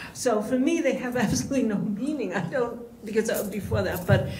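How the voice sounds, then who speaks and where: A woman's voice in an American accent at a moderate pace, with audible room echo and noticeable background noise. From New York. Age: 80s+. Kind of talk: panel discussion. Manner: halting.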